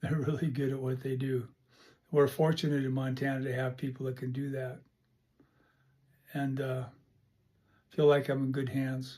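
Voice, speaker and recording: A man's dark, mellow, somewhat breathy voice in a monotone, flat intonation, with long, frequent pauses. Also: medium pitch for a man, moderate pace. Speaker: podcast host. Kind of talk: casual monologue. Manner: halting.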